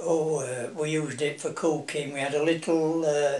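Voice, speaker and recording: A fairly high-pitched man with a Yorkshire accent, speaking at a fairly slow pace amid audible room echo. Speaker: family elder being interviewed. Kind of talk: oral history interview. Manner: hesitant, with many fillers.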